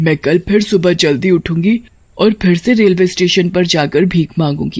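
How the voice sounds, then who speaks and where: The voice sits at a middle pitch. It is a cartoonish character voice. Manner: warm, motherly.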